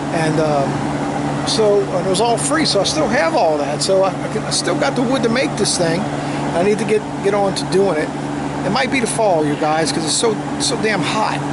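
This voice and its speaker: Over noticeable background noise and audible room echo, a man with a fairly high pitch speaks with lively intonation. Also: moderate pace. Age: 60s. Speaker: homesteading vlogger. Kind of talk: casual walkthrough vlog. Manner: halting, many repetitions and fillers.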